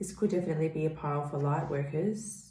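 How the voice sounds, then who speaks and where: A woman's very deep, low voice, somewhat breathy, with audible room echo. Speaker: tarot reader. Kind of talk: tarot reading to camera. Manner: hesitant, many fillers.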